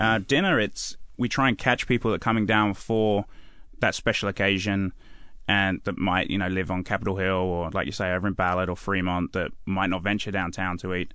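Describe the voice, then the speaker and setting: With an East Anglian accent, a man talks at a fairly quick pace in a bright, sharp tone, his fairly low pitch following fairly even intonation over a quiet background. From England (Suffolk). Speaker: chef. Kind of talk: radio interview. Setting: radio studio.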